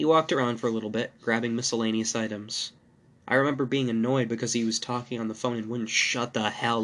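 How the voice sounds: Fairly even intonation in a natural reading voice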